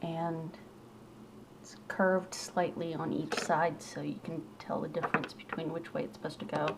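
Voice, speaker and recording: A woman speaks at a moderate pace in a fairly low pitch with ordinary variation and big swings in loudness, over noticeable background noise. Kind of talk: makeup tutorial talk to camera. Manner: casual.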